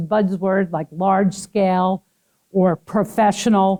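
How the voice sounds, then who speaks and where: A woman with a Brooklyn accent has a dark, mellow tone in a dry, close sound with no echo. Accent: New York (Brooklyn). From Brooklyn, New York. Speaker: HR trainer. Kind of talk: training class. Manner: fast.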